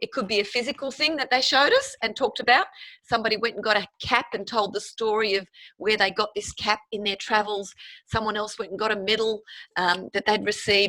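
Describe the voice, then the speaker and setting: Fairly high-pitched woman, bright and sharp in tone, with fairly even intonation at a fairly quick pace. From Sweden. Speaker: teacher. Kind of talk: prepared speech. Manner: fast.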